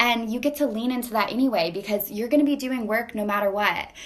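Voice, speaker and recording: A woman with a fairly high pitch and ordinary pitch variation talks as noticeable background noise carries on. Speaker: life coach. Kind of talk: motivational monologue. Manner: animated; halting, repetitive fillers.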